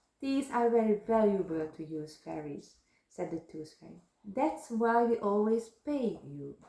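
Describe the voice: This is plain reading aloud with lively intonation. The background stays quiet.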